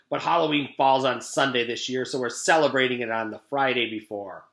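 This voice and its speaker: A man's raspy, put-on character voice at medium pitch and a fairly quick pace. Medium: read story. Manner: menacing, mocking.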